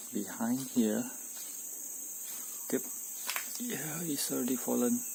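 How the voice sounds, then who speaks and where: A man speaks very slowly. Noticeable noise sits in the background. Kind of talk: house inspection walkthrough.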